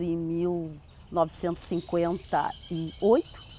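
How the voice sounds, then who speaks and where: A woman's voice sits fairly low in pitch with a dark, mellow tone. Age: 70s. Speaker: local historian and community elder. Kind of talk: interview testimony. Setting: outdoors in a town square. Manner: measured, with hesitations.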